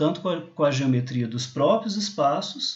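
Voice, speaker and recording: Lively intonation and a fairly quick pace come through over audible room echo. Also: man. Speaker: university lecturer. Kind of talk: lecture. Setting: recorded remote class over slides.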